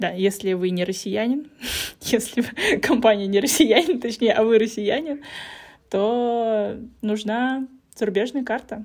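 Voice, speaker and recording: A woman's fairly high voice with ordinary pitch variation, at a fairly slow pace with long, frequent pauses. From Russia. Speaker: podcast host. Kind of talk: casual chat.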